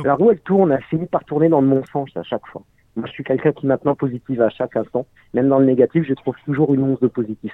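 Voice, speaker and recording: This man talks at a very fast pace in a fairly high voice with ordinary pitch variation. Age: 40s. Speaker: unemployed father in debt. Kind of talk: testimony.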